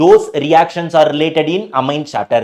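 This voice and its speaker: A man speaks with a Tamil accent. His pitch is fairly high. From South India, Tamil Nadu. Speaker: chemistry teacher. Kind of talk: live online lecture. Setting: live stream.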